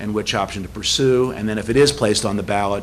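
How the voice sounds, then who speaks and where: Over noticeable background noise and audible room echo, a man speaks at a very fast pace with a fairly low pitch and fairly even intonation. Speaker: survey researcher presenting results. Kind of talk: presentation at public meeting.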